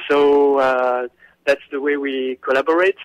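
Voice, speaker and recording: In a dry, close recording with no echo, a man speaks at a medium pitch with monotone, flat intonation. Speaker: visual artist. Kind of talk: radio interview answer.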